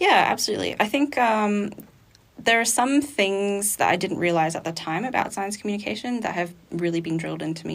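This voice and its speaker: With an Australian accent, a woman at medium pitch talks at a moderate pace with lively intonation. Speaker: zoology student. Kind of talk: interview. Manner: clear, good pace.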